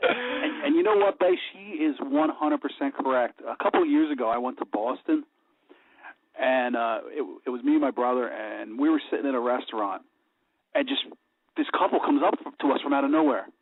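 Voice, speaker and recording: A man talking at a fairly quick pace, with long, frequent pauses. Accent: Philadelphia. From Delaware County, Pennsylvania. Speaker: radio host. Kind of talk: radio interview.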